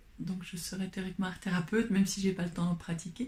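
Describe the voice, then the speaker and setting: A woman's dark, mellow tone comes through somewhat breathy as she talks at a moderate speed. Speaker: painter and doctor. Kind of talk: interview answer.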